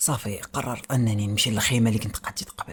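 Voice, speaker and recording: Recorded very cleanly over a silent background, a man with a Moroccan accent speaks at a moderate pace with fairly even intonation. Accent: Moroccan Darija. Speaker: horror storyteller. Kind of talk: horror story narration.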